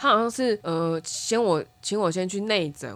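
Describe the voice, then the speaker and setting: Very slow speech from a woman with very wide pitch swings, amid noticeable background noise. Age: 30s. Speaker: podcast co-host. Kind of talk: casual chat.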